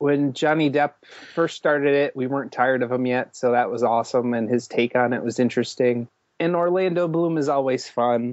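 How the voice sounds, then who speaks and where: He speaks with a plain, everyday voice, pitched in the middle range for a man. His delivery moves fairly quickly, and his pitch rises and falls in an ordinary way. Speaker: podcast co-host. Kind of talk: casual chat.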